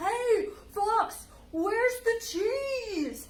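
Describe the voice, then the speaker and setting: The voice is a put-on character voice with extremely high pitch. Clear background noise runs behind it. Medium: read story. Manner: gruff, suspicious.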